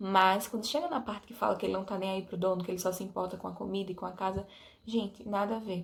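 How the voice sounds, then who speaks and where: This woman talks at a very fast pace, her pitch sitting in the medium range. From Brazil, Alagoas (interior). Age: 20s. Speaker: vlogger. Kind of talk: casual vlog talk to camera. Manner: animated.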